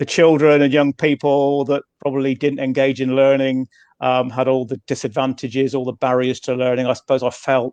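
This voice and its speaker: At a fairly quick pace, a man talks at a medium pitch in a monotone, flat intonation. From Cornwall, southwest England. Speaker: education consultant. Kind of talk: panel interview. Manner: hesitant, many fillers and repetitions.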